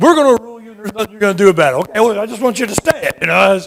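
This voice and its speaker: A man speaks in a raised, projected voice. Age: 60s. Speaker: panelist, liberty activist. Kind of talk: conference panel talk. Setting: conference stage with audience.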